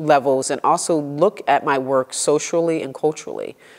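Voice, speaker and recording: A woman's very deep, low voice with fairly even intonation against a quiet background. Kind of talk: interview answer. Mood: reflective, engaged. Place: studio. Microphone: lapel.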